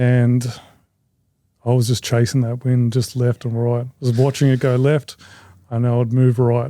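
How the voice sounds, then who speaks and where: A man with an Australian accent, medium in pitch, dark and mellow in tone, monotone and flat in intonation, at a moderate pace with long, frequent pauses and very even loudness. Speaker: competitive shooter. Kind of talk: casual chat.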